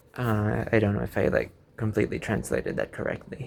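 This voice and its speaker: A man speaks with a Filipino accent. His pace is moderate. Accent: own accent noted, Filipino-English. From Philippines. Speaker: YouTuber. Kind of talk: casual vlog monologue, unscripted. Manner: rambling, hesitant with fillers.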